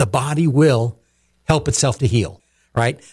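Somewhat breathy male speech at a fairly quick pace with lively intonation, in a very clean recording with a silent background. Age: 60s. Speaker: company CEO. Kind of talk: radio interview.

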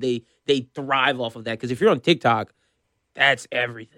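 The voice has a bright, sharp tone and fairly even intonation, moving at a moderate pace in a dry, close sound with no echo. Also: man. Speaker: sports radio host. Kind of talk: casual chat. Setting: studio.

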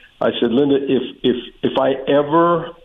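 There is noticeable background noise as a man speaks with fairly even intonation. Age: 60s. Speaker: former college baseball coach. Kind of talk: casual radio interview. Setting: phone call. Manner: jokey, chatty.

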